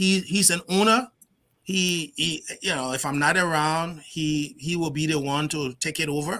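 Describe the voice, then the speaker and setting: In a very clean recording with a silent background, a man speaks at a moderate pace with a high pitch and a bright, sharp tone. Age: 60s. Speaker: technology company CEO. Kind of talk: interview. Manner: halting.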